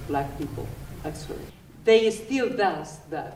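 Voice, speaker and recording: A woman is heard with audible room echo while noticeable background noise runs underneath. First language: not English. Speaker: audience member at panel talk. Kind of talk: audience question at panel discussion. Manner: halting.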